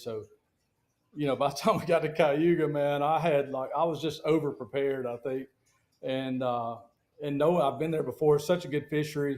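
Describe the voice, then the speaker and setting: A man talks with a Southern US accent. His pitch is fairly high and his pace fairly quick. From Alabama, US South. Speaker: professional bass angler. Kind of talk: casual interview chat. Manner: animated.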